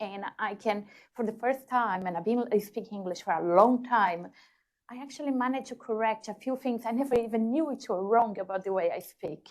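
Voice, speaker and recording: A woman's fairly high-pitched voice with a non-native accent, ordinary pitch variation and a fairly quick pace. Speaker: engineer, panellist. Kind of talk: panel discussion. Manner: hesitant, many fillers.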